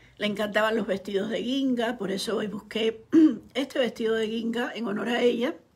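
A woman keeps a moderate pace and fairly even intonation while noticeable background noise runs underneath. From Cuba. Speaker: writer and online commentator. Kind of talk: live stream monologue.

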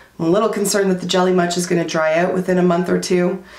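Noticeable background noise sits behind this woman. Her pitch is medium and her intonation fairly even. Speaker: beauty youtuber. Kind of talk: product review. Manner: casual, chatty.

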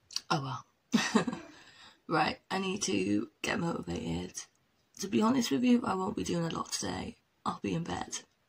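A quiet woman's voice at a moderate pace, broken by long, frequent pauses. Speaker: vlogger. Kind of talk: casual vlog talk.

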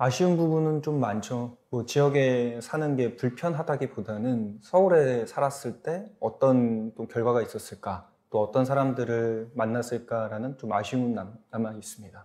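Barely pausing, a man with a medium pitch and a dark, mellow tone speaks at a fairly slow pace. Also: ordinary pitch variation. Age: 30s. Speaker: startup founder. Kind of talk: panel discussion. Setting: studio.

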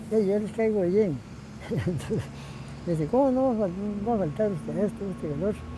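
A man's high-pitched voice at a moderate pace, with ordinary pitch variation, long, frequent pauses, a dry sound with no echo and noticeable background noise. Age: 80s+. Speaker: marathon runner. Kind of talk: interview answer. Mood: warm, reminiscing. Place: garden.

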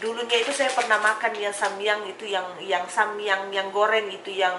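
Over clear background noise, a woman talks at a medium pitch with little pitch movement. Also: moderate pace.

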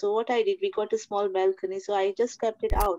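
Against a quiet background, a woman speaks with lively intonation and a dark, mellow tone. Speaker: church member giving testimony. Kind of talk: testimony. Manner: halting. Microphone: video call.

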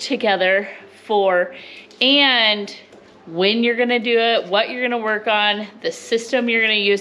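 A woman at a fairly slow pace. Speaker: homestead vlogger. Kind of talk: casual vlog chat. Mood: upbeat, encouraging. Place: home room. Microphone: phone near.

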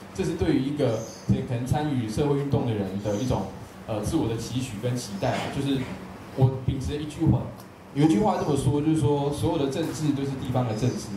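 A man with a Taiwanese accent speaks at a fairly quick pace. There is audible room echo and noticeable background noise. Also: medium pitch for a man, ordinary pitch variation. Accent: Taiwanese Mandarin. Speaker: event moderator. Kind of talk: panel moderation. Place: hall.

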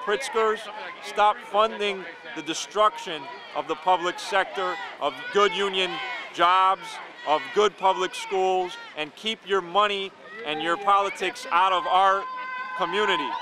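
A man with a high pitch projects a raised voice at a moderate pace, leaving long, frequent pauses. The sound is dry with no echo, and background noise is noticeable. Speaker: union activist. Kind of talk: interview answers, fiery political speech. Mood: indignant, activist. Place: street. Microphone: handheld.

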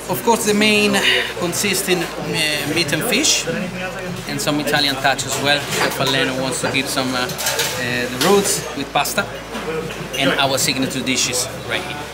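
Loud background noise fills the clip. A man speaks with long, frequent pauses. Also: moderate pace. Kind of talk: explaining the menu to a guest. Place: cafe.

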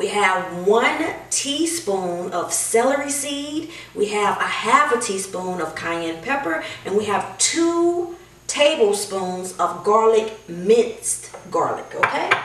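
The speech comes at a very slow pace, with audible room echo in the recording. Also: woman. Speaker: home cook host. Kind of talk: cooking tutorial. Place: kitchen. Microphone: camera far.

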